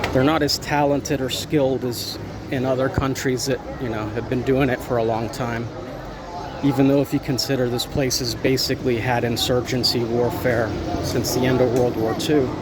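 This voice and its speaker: With an American accent, a man speaks at a moderate pace and medium pitch in a monotone, flat intonation, with noticeable background noise and audible room echo. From United States. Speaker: expat vlogger, military veteran. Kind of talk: casual vlog monologue. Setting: outdoors, walking down a street.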